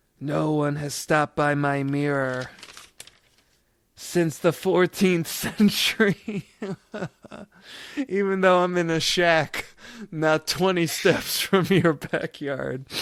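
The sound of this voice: Over a hissing background, a man in a put-on character voice speaks very slowly at a fairly high pitch, leaving long, frequent pauses.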